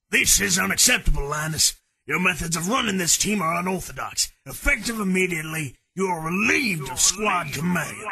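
A man's high voice with lively intonation, at a fairly quick pace with hardly any pauses. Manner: clipped, authoritative, contemptuous.

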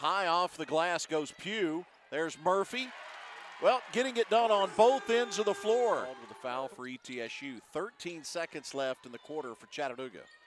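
With light noise in the background, a man talks at a moderate pace in a high voice, his pitch swinging very widely and his loudness shifting in big swings. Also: dry sound with no echo. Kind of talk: live sports commentary. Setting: basketball arena broadcast. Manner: rising energy on made shots. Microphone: headset.

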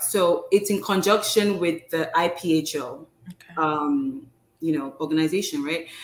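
A woman speaks at a fairly slow pace with lively intonation and big swings in loudness. Her bright, sharp tone carries audible room echo. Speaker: pharmacist and postdoctoral fellow; guest. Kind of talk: informal interview. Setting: live video stream. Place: home room.

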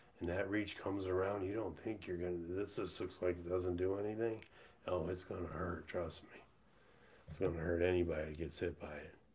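With an American accent, a man speaks at a fairly quick pace in a very deep, low, somewhat breathy voice with fairly even intonation. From USA. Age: 50s. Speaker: livestreamer. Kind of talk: casual livestream monologue. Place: home room. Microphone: webcam.

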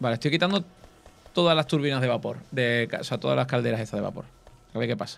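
A man talks at a very fast pace with vocal fry and ordinary pitch variation. Long pauses come often. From Cádiz, Andalusia, Spain; Andalusia, Spain. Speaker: gaming YouTuber. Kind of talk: casual gaming chat. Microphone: studio mic.

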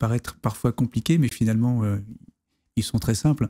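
The tone is dark and mellow. The pace is fairly quick. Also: man, quiet background. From La Rochelle, western France; France. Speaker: navy officer and history author; guest. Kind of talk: interview conversation. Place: studio. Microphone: studio mic.

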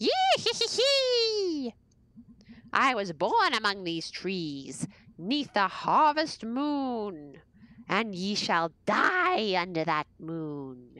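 Using a put-on character voice, a woman cackles in a menacing tone at medium pitch, with very wide pitch swings, a very slow pace and long, frequent pauses. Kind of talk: pageant theatrics, archaic speech. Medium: game stream. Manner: cackling, menacing.

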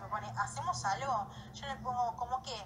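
A woman keeps to a moderate pace while noticeable background noise continues around her. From Argentina. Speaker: social media influencer. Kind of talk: vlog. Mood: upset, defensive. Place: home room. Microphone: phone near.

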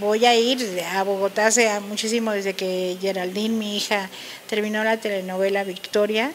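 A woman talks at a fairly slow pace. Her intonation stays fairly even over light background noise. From Mexico. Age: 60s. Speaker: lawyer and human rights defender; interview guest. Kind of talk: interview. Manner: halting. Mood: warm, grateful. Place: studio. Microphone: handheld.

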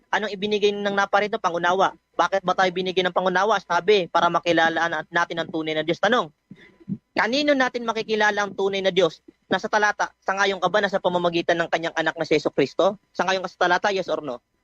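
A man with a Filipino accent speaks very fast in a high, bright, sharp tone with ordinary pitch variation. The recording is dry and close with no echo. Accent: Filipino (Tagalog). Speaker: debater. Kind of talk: heated religious debate. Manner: sharp, pressing, sarcastic, quick-firing.

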